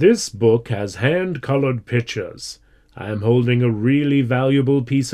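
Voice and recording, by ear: This is reading aloud in a natural voice. The words are simply read out.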